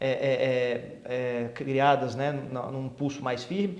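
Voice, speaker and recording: A man's speech comes with audible room echo, and background noise is noticeable throughout. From Brasília, Brazil. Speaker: police chief. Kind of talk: interview.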